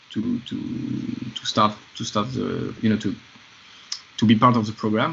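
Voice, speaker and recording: Over noticeable background noise, a man talks at medium pitch and a moderate pace in a monotone, flat intonation. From France. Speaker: film composer. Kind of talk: podcast interview.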